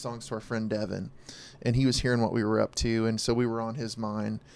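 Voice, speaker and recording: With an American accent, a man speaks in an unremarkable speaking voice at medium pitch and a fairly quick pace. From Oklahoma (Verdun). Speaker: musician. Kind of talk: casual chat.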